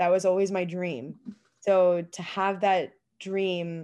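Against a quiet background, a woman speaks in a fairly low, dark, mellow tone with monotone, flat intonation. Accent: Canadian. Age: 20s. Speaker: boxer. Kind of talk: interview conversation. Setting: remote call.

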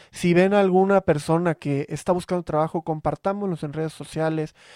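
A man talks in a normal speaking voice at a fairly high pitch, with fairly even intonation and a moderate pace. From Veracruz, Mexico. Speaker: podcast host. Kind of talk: casual chat. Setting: video call.

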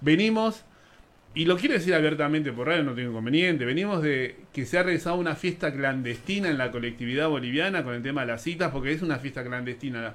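Rattling along at a very fast pace, a man speaks with ordinary pitch variation. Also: fairly high pitch for a man. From Buenos Aires, Argentina. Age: young. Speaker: radio host. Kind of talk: radio talk show.

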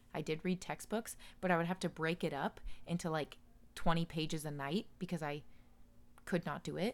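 Using long, frequent pauses, a woman speaks at a moderate pace and fairly low pitch with fairly even intonation. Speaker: podcast host. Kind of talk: casual chat. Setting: home recording at night.

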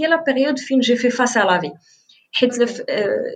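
A woman with lively intonation and a high pitch keeps to a moderate pace. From Morocco, El Jadida. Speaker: sales representative and content creator. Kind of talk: casual interview.

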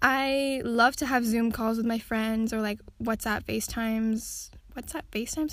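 This is a very clean recording with a silent background. A woman talks in an unremarkable speaking voice, pitched fairly high. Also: fairly even intonation, moderate pace. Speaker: solo podcaster. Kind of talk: casual podcast monologue. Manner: chatty, frequent laughs and fillers.

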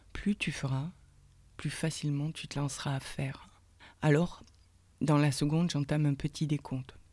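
A woman's very deep, low voice, dark, mellow and warm, stays monotone and flat with long, frequent pauses in a very clean recording with a silent background. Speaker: podcast host, personal development coach. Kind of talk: guided meditation. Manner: slow, soft, calming, with pauses between instructions; warm, intimate, addressing listener as tu.

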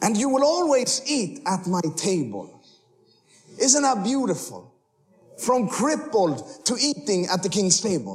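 A man's high-pitched, animated voice at a fairly slow pace, with very wide pitch swings. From Sweden. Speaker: missionary preacher. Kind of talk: sermon ending in fervent, spoken prayer with congregation. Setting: church stage with audience. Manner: fervent, impassioned, earnest; humorous, animated.

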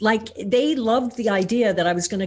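A woman speaks at a fairly quick pace with an American accent. Her voice is somewhat breathy, with ordinary pitch variation. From US Midwest, Missouri. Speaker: filmmaker. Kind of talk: interview.

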